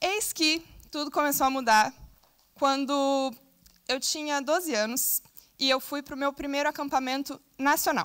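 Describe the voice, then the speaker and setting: A woman with a Brazilian accent talks at a fairly slow pace in a high pitch, leaving long, frequent pauses. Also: ordinary pitch variation. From southern Brazil. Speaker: scout, invited speaker. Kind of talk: conference talk. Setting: stage with audience.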